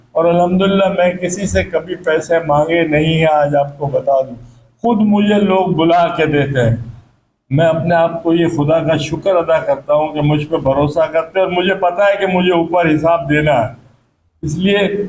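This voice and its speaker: The voice is a man's, pitched high. Its pitch varies in an ordinary way. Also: very even loudness. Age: 80s+. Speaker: charity volunteer and fundraiser. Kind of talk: speech to gathering.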